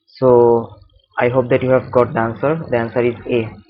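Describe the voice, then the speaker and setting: A man speaks with a Bengali accent. His pace is moderate. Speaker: chemistry tutor. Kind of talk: tutorial. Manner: halting.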